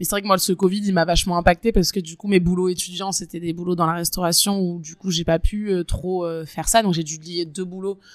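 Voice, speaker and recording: A woman's fairly low voice at a fairly quick pace, monotone and flat in intonation. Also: hardly any pauses. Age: 20s. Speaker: waitress. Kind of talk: interview, personal story. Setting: outdoors.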